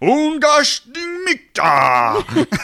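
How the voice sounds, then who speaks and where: Using a put-on character voice, a man talks at an extremely high pitch. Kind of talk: gibberish, made-up spell words.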